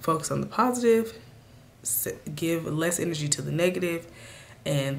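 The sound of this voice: A woman speaks at a low pitch with a raspy voice and vocal fry. Audible room echo surrounds her.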